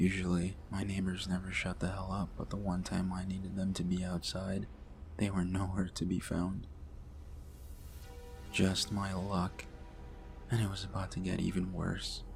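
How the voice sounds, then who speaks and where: Over music in the background, a man speaks at a moderate pace in a very deep, low voice. His intonation is monotone and flat, broken by long, frequent pauses. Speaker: horror story narrator. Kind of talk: horror story narration, ASMR-style reading.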